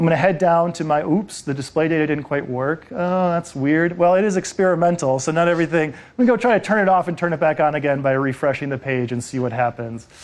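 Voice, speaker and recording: With hardly any pauses, a man of fairly high pitch rattles along at a very fast pace with ordinary pitch variation. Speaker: product manager presenting at developer conference. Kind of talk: conference tech talk with live demo.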